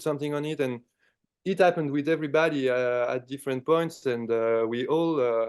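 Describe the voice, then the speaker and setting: A man talks at a fairly quick pace and a fairly high pitch. His pitch varies in an ordinary way against a quiet background. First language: French. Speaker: rock band musician. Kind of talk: interview.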